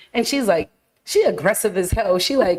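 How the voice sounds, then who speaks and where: A woman speaks loudly in an animated tone. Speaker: podcast co-host. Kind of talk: casual chat.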